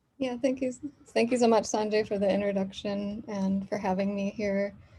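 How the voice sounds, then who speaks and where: A soft-spoken woman with an American accent talks at a moderate pace and medium pitch. Her voice is somewhat breathy, with a dark, mellow tone. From US Midwest (Michigan). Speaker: professor. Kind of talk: lecture.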